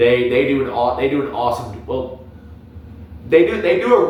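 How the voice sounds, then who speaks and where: The voice belongs to a man. There is audible room echo around it. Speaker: youtuber, anime commentator. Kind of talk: casual monologue review. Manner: halting, many repetitions and filler words.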